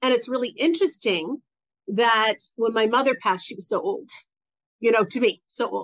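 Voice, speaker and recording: An unremarkable speaking voice with an American accent, lively intonation, moderate pace and big swings in loudness, over a quiet background. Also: woman, fairly high pitch for a woman. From US South. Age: 50s. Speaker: business coach for women entrepreneurs. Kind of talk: interview, personal story.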